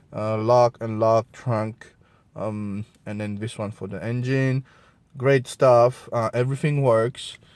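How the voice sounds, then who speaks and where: A man with a strong non-native accent, fairly even intonation, and a very slow pace. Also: medium pitch for a man. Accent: strong French Creole. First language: Creole/French. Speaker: product reviewer. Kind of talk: casual product review to camera. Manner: hesitant, many fillers.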